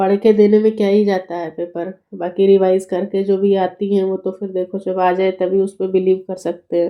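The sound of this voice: This woman speaks fairly slowly at a medium pitch, with little pitch movement.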